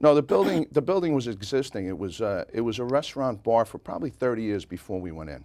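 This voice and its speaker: A man at medium pitch in a slight Brooklyn accent, very fast with hardly any pauses, lively intonation and big swings in loudness. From New York City, Brooklyn (Bay Ridge). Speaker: pub owner, parade grand marshal. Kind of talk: interview.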